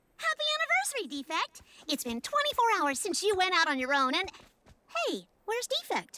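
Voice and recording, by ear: An extremely high, cartoonish character voice with very wide pitch swings at a fairly quick pace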